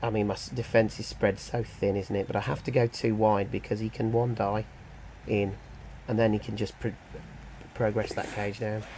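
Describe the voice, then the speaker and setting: In a British accent, a man talks with monotone, flat intonation, leaving long, frequent pauses. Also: moderate pace. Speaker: gaming youtuber. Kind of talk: game commentary. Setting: home kitchen. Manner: thinking aloud, hesitant; quiet.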